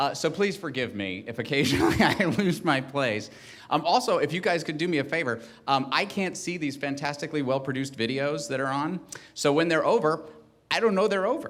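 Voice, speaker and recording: Audible room echo surrounds a man with a fairly high pitch who talks fairly quickly with lively intonation. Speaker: ceremony emcee. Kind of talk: ceremony presenting from teleprompter. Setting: stage with audience. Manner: fast; halting, many fillers.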